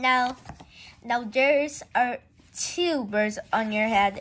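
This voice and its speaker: Put-on character voice: very slow pace, high pitch, female-sounding. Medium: read story. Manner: calm, matter-of-fact.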